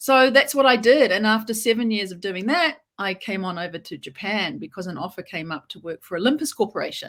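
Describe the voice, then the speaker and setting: In a New Zealand accent, a woman with a fairly high voice speaks at a fairly quick pace with big swings in loudness. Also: hardly any pauses, very clean recording, silent background. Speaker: lawyer. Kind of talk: interview.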